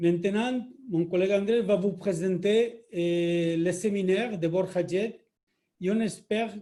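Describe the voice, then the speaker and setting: A man with a Spanish accent speaks at a very slow pace in a high pitch, with ordinary pitch variation. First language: Spanish (speaking French). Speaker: company executive. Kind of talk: webinar introduction.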